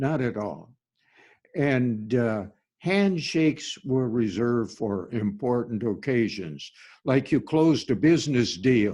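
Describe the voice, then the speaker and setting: Against a quiet background, a man with a Minnesota accent speaks at a very slow pace in a medium pitch with lively intonation and a dark, mellow tone. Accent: Minnesotan Upper Midwest American. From US Upper Midwest, Minnesota. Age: 90s. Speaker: pastor. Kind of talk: informal sermon, personal reminiscence. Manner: halting, with many fillers and repetitions.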